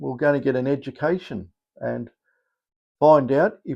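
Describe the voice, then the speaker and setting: Speaking at a moderate pace, a man with an Australian accent has a fairly high pitch. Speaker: metal detector coil maker. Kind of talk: casual vlog. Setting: small electronics workshop. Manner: hesitant, many fillers.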